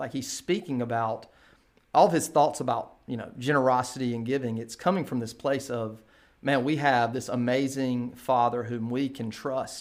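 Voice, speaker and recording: A man with a normal speaking voice talks at a moderate pace in a medium pitch. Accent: American. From eastern North Carolina, US South. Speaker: pastor. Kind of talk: casual interview.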